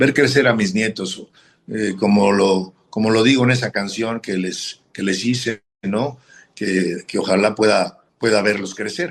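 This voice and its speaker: His pitch is fairly low with ordinary variation. The man speaks at a fairly slow pace. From northern Mexico, Matamoros. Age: 60s. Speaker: football coach and former player. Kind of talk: interview. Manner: halting.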